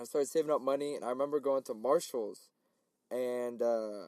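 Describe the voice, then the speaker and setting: The speech is fairly quick, with a dark, mellow tone and an American accent. Intonation stays fairly even, and the sound is dry and close with no echo. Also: man. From US Midwest, St. Louis, Missouri. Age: 20s. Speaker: podcast host. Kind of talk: casual chat.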